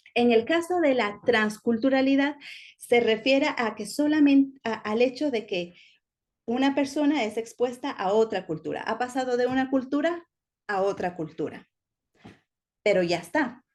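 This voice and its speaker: This woman talks at a fairly slow pace, her high pitch carried by lively intonation. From Ecuador-born, raised in Spain. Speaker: teacher. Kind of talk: lecture.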